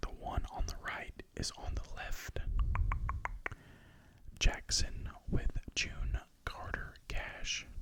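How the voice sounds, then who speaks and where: Whispering at a very slow pace, a man leaves long, frequent pauses against noticeable background noise. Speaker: ASMR creator. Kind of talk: ASMR record haul talk. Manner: soft-spoken.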